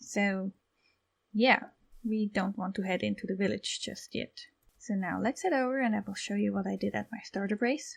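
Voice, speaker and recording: In a very clean recording with a silent background, a woman speaks. She has a non-native accent and a moderate pace. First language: not English. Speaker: gaming YouTuber. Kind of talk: gameplay commentary. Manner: casual, relaxed.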